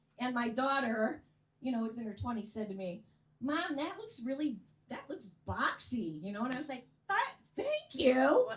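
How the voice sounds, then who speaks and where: Amid noticeable background noise, a woman with a high pitch and lively intonation talks at a moderate pace, with long, frequent pauses. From US Midwest, Chicago area. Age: 60s. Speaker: comedian. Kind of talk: stand-up. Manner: animated.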